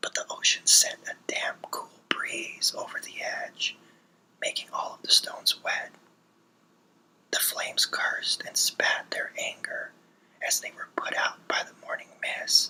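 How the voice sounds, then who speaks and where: A man whispers at a fairly slow pace, with big swings in loudness and long, frequent pauses. Noticeable background noise runs underneath. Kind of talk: ASMR story reading. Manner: whispered.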